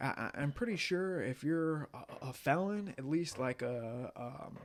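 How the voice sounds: He speaks at a fairly slow pace, his pitch medium for a man. His intonation is lively.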